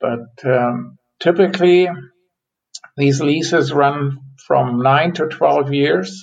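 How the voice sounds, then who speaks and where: With a German accent and a fairly high pitch, a man speaks at a very slow pace with long, frequent pauses and ordinary pitch variation. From Germany. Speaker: forest economist. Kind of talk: interview.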